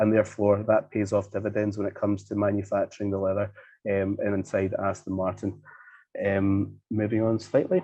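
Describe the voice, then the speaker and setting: A man with a Scottish accent, fairly low in pitch, at a fairly quick pace. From Scotland. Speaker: leather manufacturer. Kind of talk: presentation. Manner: fast; hesitant, many fillers.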